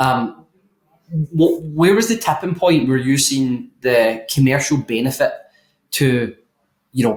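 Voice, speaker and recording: A man with a medium-pitched, somewhat breathy voice is speaking. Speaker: roofing recruiter and interviewer. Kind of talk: podcast interview.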